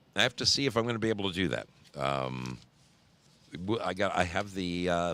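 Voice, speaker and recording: The voice has a bright, sharp tone with vocal fry and lively intonation, recorded very cleanly against a silent background. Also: man. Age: 60s. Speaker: livestream host, motorcyclist. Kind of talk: casual live-stream chat. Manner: halting, self-correcting.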